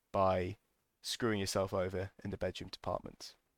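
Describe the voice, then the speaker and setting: A man with a British accent speaks at a moderate pace and fairly low pitch, in a very clean, silent-background recording that sounds dry and close with no echo. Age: 20s. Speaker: podcast host. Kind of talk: casual monologue.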